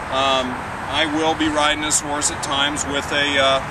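The pace is moderate. Loud background noise is present. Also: man. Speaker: horse trainer. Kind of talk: tutorial. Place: open country. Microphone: camera far.

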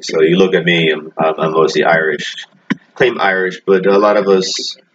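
A voice with ordinary pitch variation comes through noticeable background noise. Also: man. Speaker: religious commentator. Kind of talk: commentary. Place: home room. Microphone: webcam.

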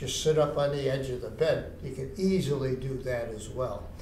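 Room echo is audible, along with light background noise. A man talks at a fairly slow pace. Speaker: exercise instructor for seniors. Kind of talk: tutorial. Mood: relaxed, anecdotal. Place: stage.

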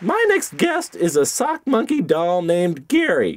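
Crowd noise fills the background. The speaker uses a cartoonish character voice. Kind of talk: talk show host. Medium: puppet.

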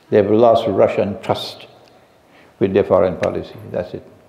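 A man speaking fairly slowly, with audible room echo. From Trinidad. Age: 70s. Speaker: Islamic scholar. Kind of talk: lecture Q&A session. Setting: mosque with live audience. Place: home room. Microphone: headset.

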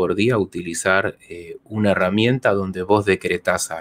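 With a normal speaking voice, a man talks at a fairly slow pace and fairly low pitch, with ordinary pitch variation over light background noise. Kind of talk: Q&A talk, explanatory monologue. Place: home room. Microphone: studio mic.

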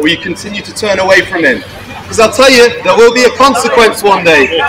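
Faint music plays in the background as a man with a high-pitched voice talks with ordinary pitch variation. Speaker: street preacher. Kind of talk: sermon. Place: street. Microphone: camera far.

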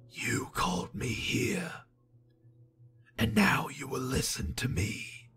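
A man puts on a raspy, hissing character voice at a medium pitch, speaking at a fairly slow pace.

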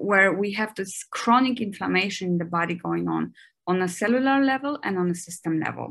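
Speaking fairly quickly with a German accent, a woman uses a medium pitch and ordinary pitch variation against a quiet background. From Germany. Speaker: physician and researcher; guest. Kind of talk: interview. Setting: video call. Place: home room. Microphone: video call.

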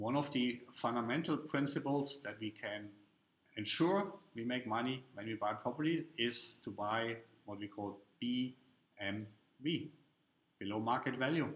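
A man with a medium pitch, a fairly bright tone and ordinary pitch variation at a fairly slow pace, with audible room echo

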